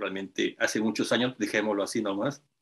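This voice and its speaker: Speaking at a moderate pace with fairly even intonation, a man has a plain, everyday voice and a fairly low pitch. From Peru. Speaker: writer and independent researcher. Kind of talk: interview introduction.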